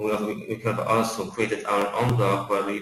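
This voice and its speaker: Noticeable background noise and audible room echo fill the recording. A man speaks with a fairly low pitch in a monotone, flat intonation. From Poland. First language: Polish. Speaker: account manager at software company. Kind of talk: webinar presentation. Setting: online webinar. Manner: halting, many fillers and repetitions.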